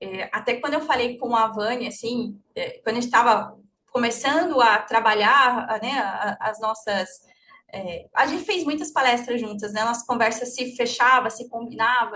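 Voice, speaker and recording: With a bright, sharp tone, a woman speaks at a high pitch with ordinary pitch variation. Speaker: therapist and lecturer. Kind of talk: lecture. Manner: fast.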